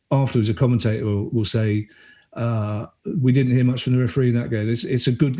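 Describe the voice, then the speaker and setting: A man of medium pitch, dark and mellow in tone and somewhat breathy, at a fairly quick pace against a quiet background. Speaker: stand-up comedian and writer. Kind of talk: podcast guest conversation. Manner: casual, animated.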